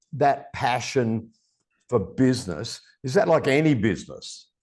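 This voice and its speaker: The speech moves at a fairly slow pace, with very wide pitch swings and vocal fry. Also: man. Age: 60s. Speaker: podcast host. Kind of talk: casual chat. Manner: animated.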